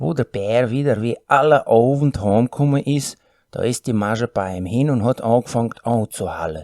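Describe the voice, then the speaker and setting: Delivered at a moderate pace in a Volga German accent, the speech has ordinary pitch variation and a dry, close sound with no echo. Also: man, medium pitch for a man. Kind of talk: folk tale reading.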